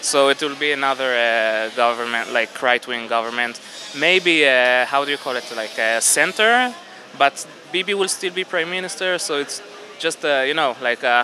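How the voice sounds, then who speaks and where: At a moderate pace, a man speaks in dry sound with no echo over light background noise. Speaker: interviewee. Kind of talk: interview answer. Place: market. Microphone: handheld.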